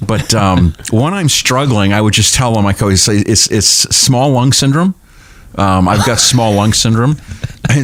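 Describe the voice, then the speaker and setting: A man with a New England accent speaks at a moderate pace and a medium pitch, his loudness very even and his pitch varying in an ordinary way, over noticeable background noise. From New Hampshire seacoast, Portsmouth. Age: 60s. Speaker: pastor and humorist author. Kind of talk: casual chat.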